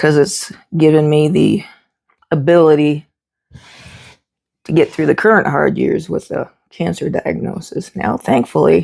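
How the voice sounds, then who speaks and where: Pausing long and often, a woman talks at a fairly slow pace. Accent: slight Southern US. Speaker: homesteader and cooking vlogger. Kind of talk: cooking tutorial. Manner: casual, folksy.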